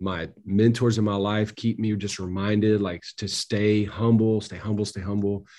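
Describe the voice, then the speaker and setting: A man with a dark, mellow tone and fairly low pitch speaks in a monotone, flat delivery at a moderate pace. He barely pauses, over a quiet background. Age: 40s. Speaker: pastor. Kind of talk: interview.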